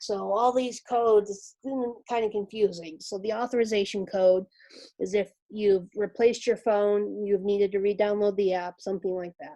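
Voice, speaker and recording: A dark, mellow tone at a moderate pace, with fairly even intonation. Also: woman, medium pitch for a woman. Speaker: real estate association staff trainer. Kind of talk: webinar tutorial. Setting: video call with screen share.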